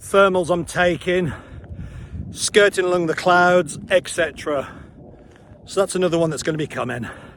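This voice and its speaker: The man's pitch sits high. His intonation is fairly even. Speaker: paragliding instructor. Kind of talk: tutorial. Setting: outdoors. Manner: loud. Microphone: action camera mic, poor sound.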